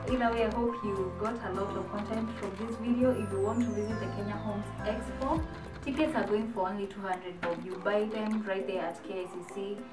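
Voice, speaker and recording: A woman talks at a moderate pace. Clear music sounds behind her. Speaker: lifestyle vlogger. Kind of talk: casual vlog chat. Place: home room.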